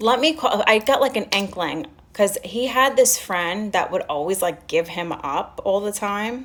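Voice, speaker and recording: A woman with a strong New York accent speaks at a fairly slow pace and medium pitch, with lively intonation, hardly any pauses, and noticeable background noise. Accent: strong Staten Island New York. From Staten Island, New York. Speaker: live streamer. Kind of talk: casual storytelling on a livestream. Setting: live stream with chat.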